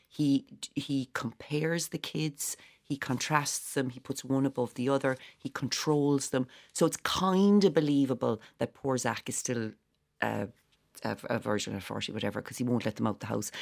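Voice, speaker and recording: In a Cork accent, a woman speaks with a very deep, low pitch and ordinary pitch variation at a moderate pace. The sound is dry and close, with no echo. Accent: Irish, Cork. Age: 40s. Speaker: stage actor. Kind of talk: casual chat. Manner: animated.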